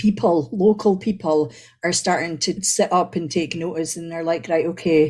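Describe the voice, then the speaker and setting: A dark, mellow tone with ordinary pitch variation at a moderate pace. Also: woman. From Aberdeen, Scotland. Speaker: spoken word poet. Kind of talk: interview answer.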